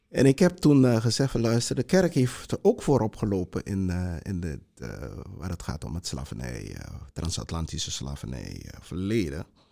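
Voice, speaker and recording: This man's voice sits very deep and low, with a dark, mellow tone, very wide pitch swings, big swings in loudness and a moderate pace. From Suriname (Para district). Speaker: heritage institute director. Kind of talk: panel discussion. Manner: halting, many repetitions.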